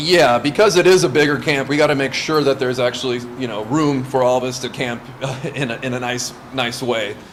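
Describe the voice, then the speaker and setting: A man talks at a fairly quick pace in a medium pitch with ordinary pitch variation. Noticeable background noise sits behind him. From US West Coast, Santa Monica, California, Lithuanian household. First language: Lithuanian. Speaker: scout camp leader. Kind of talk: interview. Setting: in person, Santa Monica.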